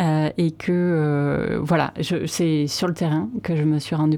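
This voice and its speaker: A woman's very deep, low voice, dark and mellow in tone, at a very slow pace with fairly even intonation. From Landes, France. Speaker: association director. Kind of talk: radio interview. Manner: hesitant.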